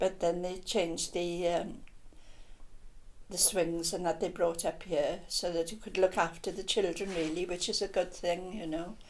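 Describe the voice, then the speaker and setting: A woman's fairly low, monotone, flat voice at a moderate pace. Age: 80s+. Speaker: local resident. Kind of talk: casual chat.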